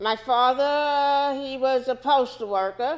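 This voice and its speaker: A woman speaks with a New York accent. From New York City, Washington Heights. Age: 70s. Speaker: civil rights activist. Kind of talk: interview.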